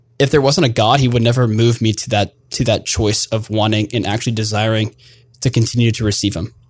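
A man with an American accent speaks at medium pitch and a fairly quick pace. His voice is somewhat breathy, with fairly even intonation. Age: 20s. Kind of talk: interview.

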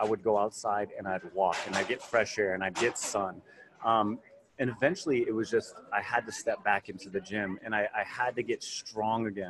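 A normal speaking voice from a man, fairly low in pitch, with ordinary pitch variation and a moderate pace. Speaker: fitness trainer in recovery. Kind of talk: casual interview. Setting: conference, recorded at a symposium.

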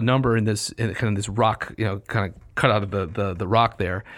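A man's unremarkable speaking voice at medium pitch, fairly quick pace, very clean recording with a silent background. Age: 50s. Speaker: classics podcast co-host. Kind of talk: casual chat.

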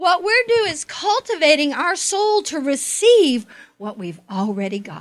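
A woman talks at an extremely high pitch and a fairly slow pace. Her pitch swings very wide, and her loudness shifts in big swings. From Oklahoma. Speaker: preacher. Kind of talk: sermon.

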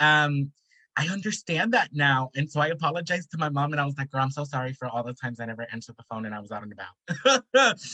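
Spoken very fast with an American accent, the voice has a bright, sharp tone, lively intonation and big swings in loudness, all in a dry, close sound with no echo. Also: man, fairly high pitch for a man. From South Central Los Angeles. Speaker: social worker and artist. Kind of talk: panel discussion.

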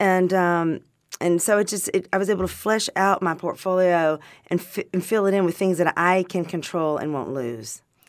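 The woman keeps a moderate pace and a medium pitch with ordinary pitch variation. The recording is very clean with a silent background. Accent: Southern US. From Arkansas. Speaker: wine distributor and vintner. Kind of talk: casual interview chat. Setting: studio.

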